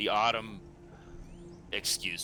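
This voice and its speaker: Put-on character voice from a man, with clear background noise behind it. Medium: actual play. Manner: casual, folksy.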